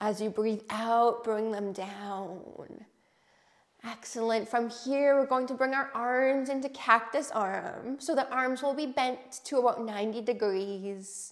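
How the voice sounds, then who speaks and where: At a very slow pace, a woman speaks in a calm, soothing tone at a fairly high pitch. Her intonation stays fairly even against a quiet background. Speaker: yoga instructor. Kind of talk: guided chair yoga class with breathing and meditation cues. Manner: calm, slow, soothing and gentle; encouraging, welcoming and inclusive. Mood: calm, encouraging. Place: home room. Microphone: lapel.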